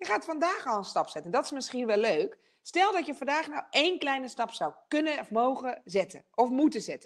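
A woman speaks at a moderate pace in a high pitch, her pitch swinging very widely, with a quiet background. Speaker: television presenter and speaker; television presenter, speaker. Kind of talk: online masterclass talk. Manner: energetic. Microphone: video call.

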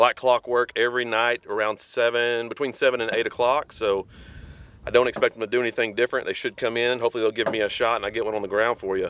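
Very fast and monotone, a man talks in a flat intonation, the sound dry with no echo. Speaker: hunter vlogger. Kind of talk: casual vlog chat. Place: open country.

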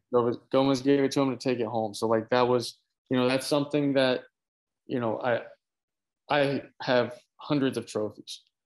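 A man with an American accent speaks at a moderate pace in a monotone, flat delivery with long, frequent pauses, against a quiet background. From Florida, US. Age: 20s. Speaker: cycling team founder and racer. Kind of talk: casual chat. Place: home room. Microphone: video call.

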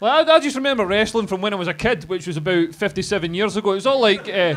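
A man in a Scottish accent at a very fast pace, lively in intonation, with crowd noise in the background. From Scotland. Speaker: comedian. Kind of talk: live podcast interview. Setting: stage with audience. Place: bar.

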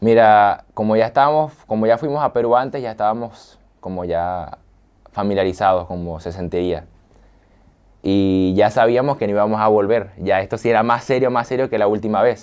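A man's fairly low voice at a moderate pace, with ordinary pitch variation over a quiet background. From Venezuela, San Fernando de Apure; Venezuela. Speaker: gamer youtuber; interviewee, gamer youtuber. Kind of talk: interview. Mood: relaxed, smiling storytelling. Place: studio. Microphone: lapel.

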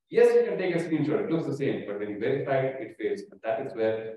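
Strong room echo surrounds a man talking at a fairly quick pace. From India. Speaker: startup founder giving a talk; conference speaker. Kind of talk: conference presentation. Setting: office event room with hybrid audience. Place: hall.

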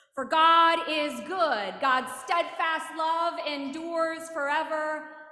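Very slowly, a woman uses a raised, projected voice with ordinary pitch variation and audible room echo. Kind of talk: liturgical call to worship and welcome. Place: church. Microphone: podium.

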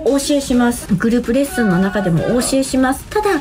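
A woman's high-pitched voice at a fairly quick pace over clear music in the background. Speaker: weight training instructor. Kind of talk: casual promotional vlog talk. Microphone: phone near.

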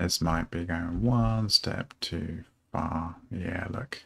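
A man speaks slowly in a low voice with a slightly husky edge, vocal fry and ordinary pitch variation.

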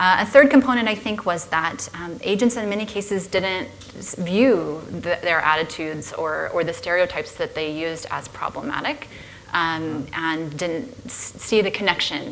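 Against light background noise, a woman with a fairly low pitch talks at a moderate pace, her intonation lively. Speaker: sociology professor and researcher. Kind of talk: panel discussion. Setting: stage with audience, live-streamed. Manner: halting, many fillers and restarts. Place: stage.

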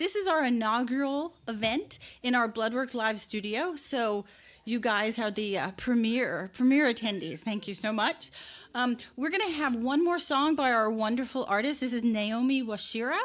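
A woman's high voice at a moderate pace, with lively intonation. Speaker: event host. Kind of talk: event introduction. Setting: live studio with audience. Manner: casual. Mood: warm, welcoming. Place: stage. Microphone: studio mic.

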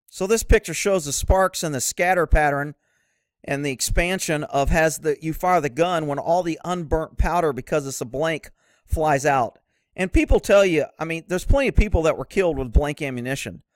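Here a man talks in a normal speaking voice. His pitch variation is ordinary. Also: fairly high pitch for a man, moderate pace, dry, close sound with no echo. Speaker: horse-welfare video creator. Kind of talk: angry rant, sarcastic and scornful, aimed at mounted shooting fans; opinionated video commentary. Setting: online video with pictures shown. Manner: sarcastic.

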